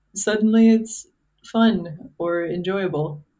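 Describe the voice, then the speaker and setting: A woman talks at a very slow pace in a medium pitch with ordinary pitch variation. Room echo is audible. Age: 20s. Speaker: former software engineer. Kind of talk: casual chat.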